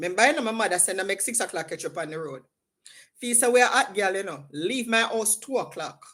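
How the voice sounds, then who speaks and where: A woman speaks in an animated tone with a Jamaican accent. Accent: Jamaican, with patois. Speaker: livestream host. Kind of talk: casual chat. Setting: livestream.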